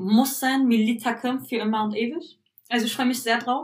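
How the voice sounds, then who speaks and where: With fairly even intonation, a woman talks in a fairly high voice. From Berlin, Germany (Turkish family). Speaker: podcast co-host. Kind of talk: casual chat.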